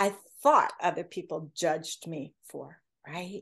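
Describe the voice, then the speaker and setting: A woman talks in an ordinary speaking voice with ordinary pitch variation. The background is quiet. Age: 60s. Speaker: author and speaker. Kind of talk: casual interview chat.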